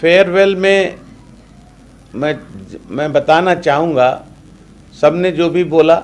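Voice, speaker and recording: The speaker uses fairly even intonation, broken by long, frequent pauses. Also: man, high pitch for a man. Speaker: retired professor of pulmonary medicine. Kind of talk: personal life story.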